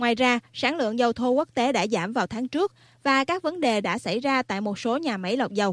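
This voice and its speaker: In an ordinary speaking voice, a woman talks at a fairly quick pace with a fairly high pitch and ordinary pitch variation. The recording is very clean, dry and close, with a silent background and no echo. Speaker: news presenter. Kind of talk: news reading.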